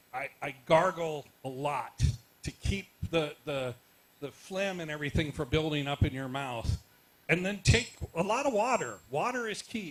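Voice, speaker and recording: Lively intonation marks a man's speech, delivered at a moderate pace. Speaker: media commentator and workshop panelist. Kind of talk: panel discussion Q&A. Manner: loud.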